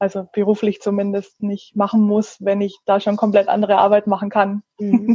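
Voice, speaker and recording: A woman's somewhat breathy, dark and mellow voice at medium pitch, monotone and flat, at a moderate pace with hardly any pauses. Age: 30s. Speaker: photographer, small shop owner. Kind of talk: casual interview. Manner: hesitant, many fillers.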